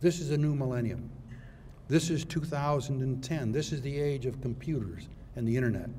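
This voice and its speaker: A man speaks at a fairly high pitch with audible room echo. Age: 80s+. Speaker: retired judge. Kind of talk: symposium speech. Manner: formal.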